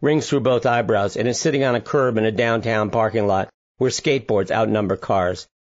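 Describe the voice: Against a quiet background, the reading aloud is plain, with ordinary pitch variation.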